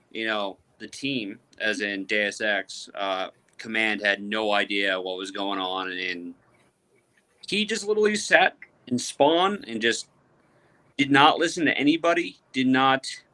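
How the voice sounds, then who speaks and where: Using lively intonation, a man with an American accent speaks at a fairly slow pace and medium pitch in a bright, sharp tone. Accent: Boston accent, toned down. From Boston. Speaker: airsoft podcast panelist. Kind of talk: casual chat.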